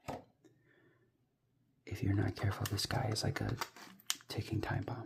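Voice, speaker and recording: The speaker talks at a moderate pace in an American accent, leaving long, frequent pauses. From US Midwest. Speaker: ASMR toy unboxing creator. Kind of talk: ASMR unboxing commentary. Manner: soft-spoken; halting.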